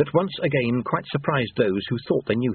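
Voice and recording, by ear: Here the words are read aloud in a natural voice.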